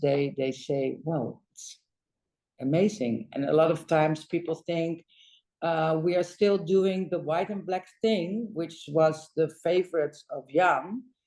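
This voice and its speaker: A woman talks very slowly with a Dutch accent. Her voice sits fairly low and has a dark, mellow tone. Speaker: interior designer. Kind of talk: interview conversation. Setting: design studio. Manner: halting, many fillers.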